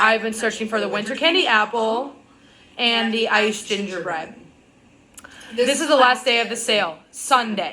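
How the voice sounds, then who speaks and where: A woman with a fairly high pitch talks in an animated tone at a moderate pace, with ordinary pitch variation and long, frequent pauses. Noticeable background noise and audible room echo are present. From Wisconsin, US Upper Midwest. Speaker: vlogger. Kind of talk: casual vlog rant.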